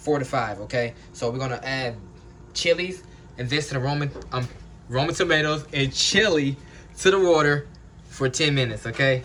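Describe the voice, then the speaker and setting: The speaker leaves long, frequent pauses. Pitch variation is ordinary. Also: man. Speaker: home cook. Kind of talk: cooking tutorial. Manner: fast; casual, filler-heavy.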